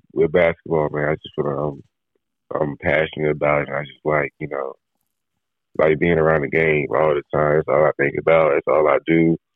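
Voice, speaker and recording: A man is talking. His voice is quiet. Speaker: college basketball player. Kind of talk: interview.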